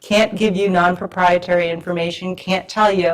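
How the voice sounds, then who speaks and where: Someone with an American accent talks at a fairly quick pace in a monotone, flat intonation, with noticeable background noise behind them. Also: woman. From US Northeast (Rhode Island). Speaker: government regulatory pharmacist speaker. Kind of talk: conference lecture.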